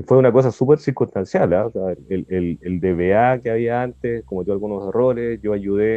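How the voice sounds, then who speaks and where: At a moderate pace, a man talks in an unremarkable speaking voice of medium pitch, with ordinary pitch variation. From Chile, Santiago. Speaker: IT entrepreneur and database engineer. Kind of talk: casual interview.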